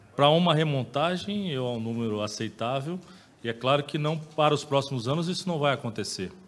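Words come out very fast. The pitch shows ordinary variation. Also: man. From Brazil. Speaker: football club director. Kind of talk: press conference. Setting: press room. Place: meeting room. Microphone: podium.

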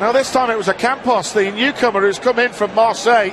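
A man with a high pitch speaks in an animated tone. Noticeable background noise is present. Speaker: football commentator. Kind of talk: live football commentary. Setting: stadium commentary, match broadcast. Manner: animated, fast, rising excitement at chances.

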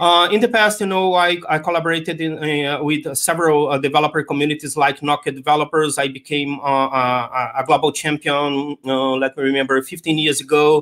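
A man with a Portuguese accent, fairly high pitch, fairly even intonation and a fairly quick pace with hardly any pauses, against a quiet background. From Brazil. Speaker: tech conference speaker; conference speaker. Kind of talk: conference talk. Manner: hesitant, many fillers. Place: home room.

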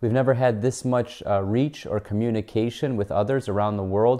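A man's dark, mellow tone with an American accent, moderate pace, and fairly even intonation, over a quiet background. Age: 30s. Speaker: personal finance YouTuber. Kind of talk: educational video monologue. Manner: casual, filler words like so and um. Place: home room.

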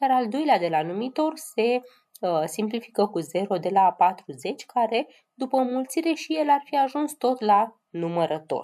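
Lively intonation marks a woman's voice with a dark, mellow tone.

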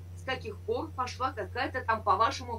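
Moderate-paced speech over light background noise. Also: woman. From Saint Petersburg, Russia. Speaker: chat roulette partner. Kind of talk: heated argument. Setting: video call. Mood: angry, insulting.

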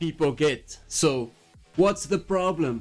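A man speaks at a fairly slow pace with ordinary pitch variation, faint music playing in the background. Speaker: commentary youtuber. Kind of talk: commentary. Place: home room. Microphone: studio mic.

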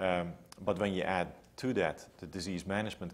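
A man with a very deep, low voice speaks at a moderate pace with a Dutch accent. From Netherlands, Amsterdam area. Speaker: public health researcher. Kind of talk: interview. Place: home room. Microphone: lapel.

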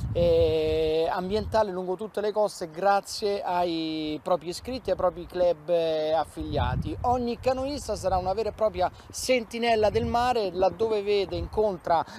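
A man's high-pitched voice with a slightly mellow tone, ordinary pitch variation and a fairly slow pace.

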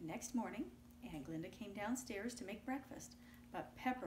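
Here someone is reading aloud in a natural voice, with lively intonation.

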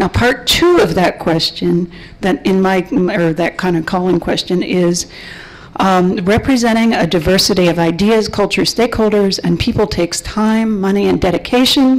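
With noticeable background noise behind her, a woman talks at a moderate pace with ordinary pitch variation. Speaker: panelist, community organizer. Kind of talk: guided meditation; panel discussion. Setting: conference panel in a room.

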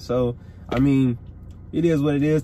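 A man's dark, mellow voice, somewhat breathy, comes through dry with no echo over light background noise. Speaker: fishing vlogger. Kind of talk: casual vlog chat. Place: car. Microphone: phone near.

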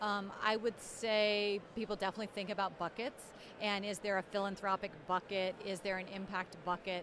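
A woman speaks at a moderate pace. The sound is dry with no echo, over light background noise. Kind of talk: interview answer. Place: hall. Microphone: handheld.

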